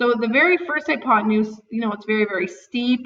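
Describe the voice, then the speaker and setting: A woman with an unremarkable speaking voice talks fairly quickly at a fairly high pitch. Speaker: math teacher. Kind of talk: tutorial.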